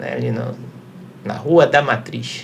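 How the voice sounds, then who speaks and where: A man speaks with a Carioca accent. He goes at a fairly slow pace. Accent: Carioca (Rio de Janeiro). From Rio de Janeiro, Brazil. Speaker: lawyer. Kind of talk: casual interview.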